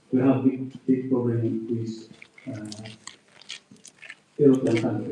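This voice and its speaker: Speaking at a very slow pace, a man with a non-native accent talks at a medium pitch. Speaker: audience member, diaspora opposition activist. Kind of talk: audience question. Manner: halting.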